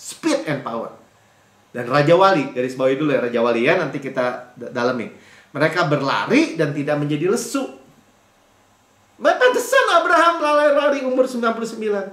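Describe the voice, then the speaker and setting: A man's animated voice with very wide pitch swings at a fairly quick pace, amid audible room echo. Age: 50s. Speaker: pastor. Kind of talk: sermon.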